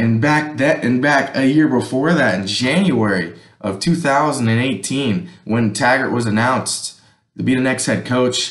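A man at a fairly slow pace with ordinary pitch variation, audible room echo and a quiet background. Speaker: sports fan vlogger. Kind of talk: casual vlog commentary. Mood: frustrated, opinionated. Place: home room.

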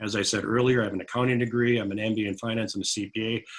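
A man's monotone, flat delivery at a very fast pace. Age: 60s. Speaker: city council candidate. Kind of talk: candidate forum statement. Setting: virtual forum.

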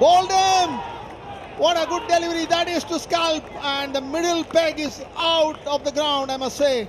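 A man with an Indian accent, extremely high in pitch, fairly even intonation, and noticeable background noise. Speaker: cricket commentator. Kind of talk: live sports commentary. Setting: stadium broadcast commentary. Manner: formal, polished English with cricket clichés.

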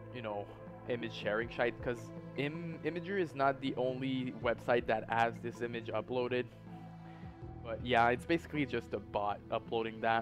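A man with a non-native accent, medium pitch and moderate pace, with music in the background. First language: not English. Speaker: YouTube host. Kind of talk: internet mystery narration. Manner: hesitant, many fillers.

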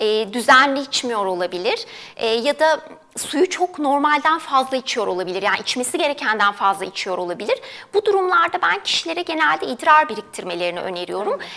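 A woman speaks in a high, raised, projected voice at a fairly quick pace. Her pitch swings very widely. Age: 30s. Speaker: dietitian; guest. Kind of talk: TV health interview. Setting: studio. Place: studio. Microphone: lapel.

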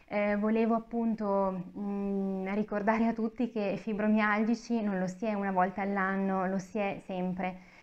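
A woman at a fairly slow pace, monotone and flat, with hardly any pauses. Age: 30s. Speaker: author with fibromyalgia. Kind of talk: interview. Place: meeting room. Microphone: lapel.

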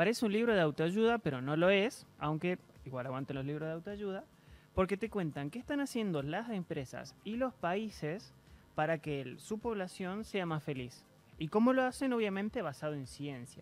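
The man has a high voice with very wide pitch swings. He keeps a moderate pace. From Argentina. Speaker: interview guest. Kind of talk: TV interview. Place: studio. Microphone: studio mic.

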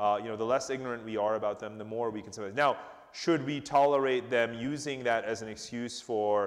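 Against a quiet background, a man with medium pitch speaks in an unremarkable speaking voice with fairly even intonation. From United States. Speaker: author and geopolitical analyst; geopolitical analyst. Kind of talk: public interview before audience. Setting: stage with audience. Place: hall. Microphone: lapel.

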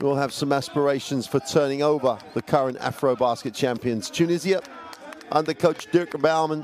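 A man with a fairly high-pitched voice speaks in an enthusiastic tone at a moderate pace. There is noticeable background noise, and his pitch varies in an ordinary way. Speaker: basketball commentator. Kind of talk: live play-by-play game commentary over highlights. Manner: enthusiastic, praising the play.

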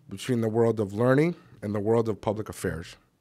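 A man talks with ordinary pitch variation at a moderate pace, and the background is quiet. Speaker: think tank executive. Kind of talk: formal welcome remarks. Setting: stage with audience. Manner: formal. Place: stage. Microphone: podium.

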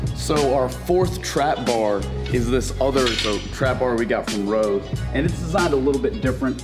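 Clear music plays in the background. Over it, a man talks at a moderate pace. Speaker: gym coach. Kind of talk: tutorial. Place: gym.

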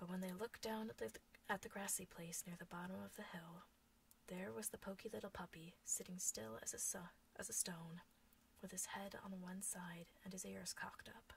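A woman's voice with vocal fry and lively intonation at a moderate pace, over light background noise. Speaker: storyteller. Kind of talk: bedtime story reading. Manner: soft, whispered. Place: home room. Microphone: webcam.

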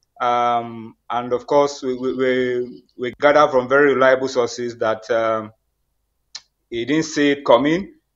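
A man's fairly slow speech with fairly even intonation against a quiet background. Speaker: remote guest journalist. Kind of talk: interview answer. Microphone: video call.

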